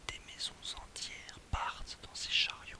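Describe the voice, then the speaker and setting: Someone is whispering. There's noticeable background noise. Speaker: ASMR reader. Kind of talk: literary short story reading. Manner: whispered.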